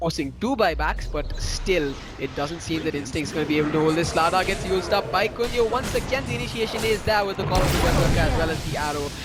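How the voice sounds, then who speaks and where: A man speaks in an animated tone at a very fast pace, with hardly any pauses, lively intonation and a high pitch. Audible room echo and noticeable background noise are present. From South India, Chennai. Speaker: esports commentator. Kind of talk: live commentary. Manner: loud; fast, animated during fights.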